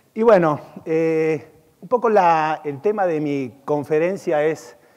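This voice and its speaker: His voice sits fairly high for a man. The male speaker's intonation rises and falls in a lively way. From Argentina. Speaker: e-commerce consultant and conference speaker. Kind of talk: conference keynote. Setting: stage with audience at a conference.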